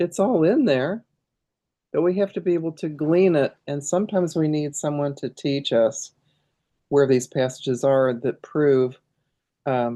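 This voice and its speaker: A woman's very deep, low voice with a dark, mellow tone, a moderate pace and ordinary pitch variation. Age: 70s. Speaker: pastor. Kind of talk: tutorial. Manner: casual, halting.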